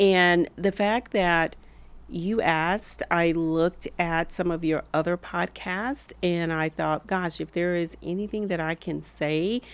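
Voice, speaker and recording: In a Southern accent, a woman speaks very slowly with fairly even intonation and a fairly low pitch, on a very clean recording with a silent background. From US South, rural Alabama. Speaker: former hospital executive. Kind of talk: podcast interview.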